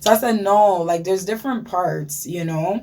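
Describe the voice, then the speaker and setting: With a dark, mellow tone, a woman talks in a voice that is somewhat breathy. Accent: Ghanaian. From Ghana. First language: Ghanaian language. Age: 30s. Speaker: beauty vlogger. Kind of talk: casual story time vlog. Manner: animated.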